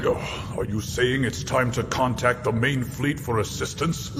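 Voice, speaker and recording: A put-on character voice from a man at a medium pitch and moderate pace, with loud background noise. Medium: fan dub. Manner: gruff, measured.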